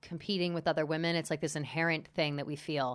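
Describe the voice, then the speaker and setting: A woman's normal speaking voice, fairly low in pitch with fairly even intonation, on a very clean recording with a silent background. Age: 30s. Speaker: podcaster and media personality. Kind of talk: casual chat. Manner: fast.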